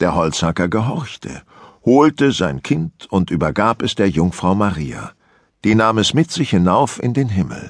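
A calm-toned man at fairly low pitch with very wide pitch swings, in a dry, close sound with no echo and a quiet background. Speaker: audiobook narrator. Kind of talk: audiobook fairy-tale reading, bedtime story telling. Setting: studio. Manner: calm, slow, measured storytelling pace.

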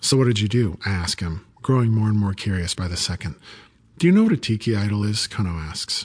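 A man's somewhat breathy, fairly low voice at a fairly quick pace, with ordinary pitch variation over a quiet background. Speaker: audiobook narrator. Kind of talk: dramatic audiobook narration, first-person story with character voices.

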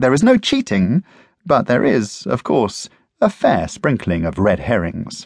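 A man with a medium pitch swings very widely in pitch, with vocal fry running through his voice. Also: fairly slow pace. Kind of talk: audiobook reading. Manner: dry, wry, witty, measured; formal, clear, even pacing.

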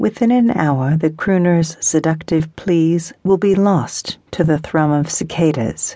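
A woman with a plain, everyday voice, pitched fairly low, talks at a fairly slow pace with ordinary pitch variation. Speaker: audiobook narrator. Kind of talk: dramatic audiobook narration of historical romance fiction. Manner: unhurried, atmospheric storytelling that lingers on sensory detail.

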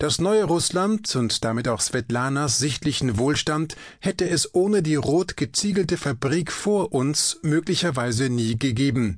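Here a man speaks in a dramatic tone with a fairly high pitch and lively intonation. His pace is fairly slow. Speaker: audiobook narrator. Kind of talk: dramatic narration, reading aloud. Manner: vivid, dramatic, measured.

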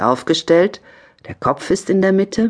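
At a fairly slow pace, a woman speaks in a calm, soothing tone. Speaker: yoga instructor, audiobook narrator. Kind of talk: guided yoga exercise instruction. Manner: slow, calm, soothing; gentle, measured, with pauses.

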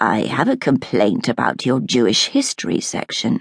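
A man's growling, put-on character voice, dry and close with no echo. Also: moderate pace. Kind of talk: precise, careful diction. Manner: rehearsed, formal.

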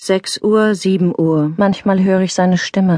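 A woman with an ordinary speaking voice at medium pitch, fairly even intonation, and a quiet background. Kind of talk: audiobook reading of a widow's testimony.

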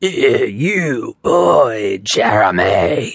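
This man puts on a growling, raspy character voice pitched fairly high. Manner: snarling.

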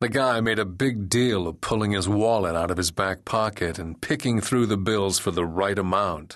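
This is reading aloud in a natural voice. Pitch varies in an ordinary way.

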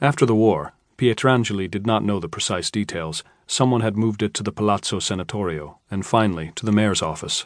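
A man talks at a fairly quick pace, his pitch fairly low with ordinary variation. It is an unremarkable speaking voice, and the background is quiet. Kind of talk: audiobook narration, reading aloud. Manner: measured, formal, even-paced literary narration.

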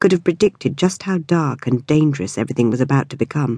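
A woman's very deep, low voice, warm and dark, mellow in tone, with lively intonation against a quiet background. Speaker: audiobook narrator. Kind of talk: audiobook narration of a memoir, first person. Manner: warm, conversational, reflective.

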